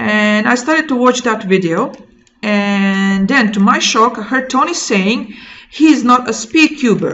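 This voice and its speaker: A woman speaks with a Croatian accent. Her pace is fairly slow. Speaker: maritime training instructor. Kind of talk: casual explainer vlog. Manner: halting, with frequent fillers.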